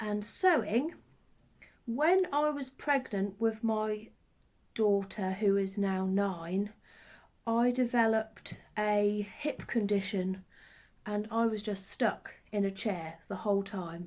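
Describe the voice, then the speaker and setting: A woman with a Norfolk accent, fairly high in pitch with ordinary pitch variation, at a very slow pace, on a very clean recording with a silent background. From Norfolk, eastern England. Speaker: craft vlogger. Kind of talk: casual chat. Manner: hesitant with many ums.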